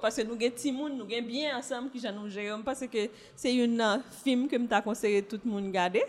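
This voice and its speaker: Pitch rises and falls in an ordinary way here. The delivery is fairly quick. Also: woman. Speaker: former journalist and diplomat, single mother. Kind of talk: casual chat.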